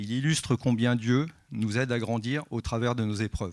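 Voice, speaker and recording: A man's normal speaking voice at a medium pitch and moderate pace, fairly even in intonation, in a very clean recording with a silent background. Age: 60s. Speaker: church member giving baptism testimony. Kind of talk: testimony. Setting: church service.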